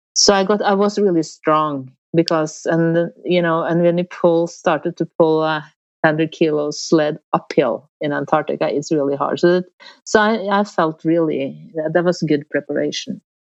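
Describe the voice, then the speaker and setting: A woman with a Norwegian accent talks at a moderate pace, fairly low in pitch with fairly even intonation, in a dry, close sound with no echo and a quiet background. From Norway. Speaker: polar explorer. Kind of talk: interview. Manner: halting.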